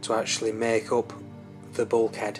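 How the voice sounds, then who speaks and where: A man speaks with a Yorkshire accent at a moderate pace, his intonation monotone and flat. Music plays in the background. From Yorkshire, England. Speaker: kit car builder. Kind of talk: narrated project walkthrough. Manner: casual, hesitant.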